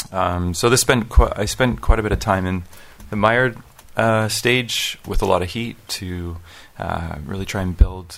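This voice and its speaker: At a fairly slow pace, a man speaks with long, frequent pauses. His pitch is fairly low, with ordinary variation. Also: big swings in loudness. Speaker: coffee roaster. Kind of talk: panel discussion. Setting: stage with audience.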